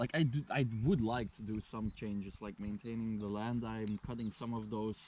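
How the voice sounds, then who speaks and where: A man with a Flemish Belgian accent, a medium pitch, and a dark, mellow tone, at a moderate pace with hardly any pauses. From Belgium (Flanders). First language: Flemish Dutch. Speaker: local host showing a visitor around. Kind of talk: casual chat.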